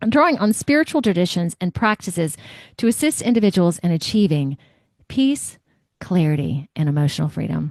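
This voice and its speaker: Her pitch swings very widely. The woman keeps a fairly quick pace. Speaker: podcast host. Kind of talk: reading aloud; interview. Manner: loud.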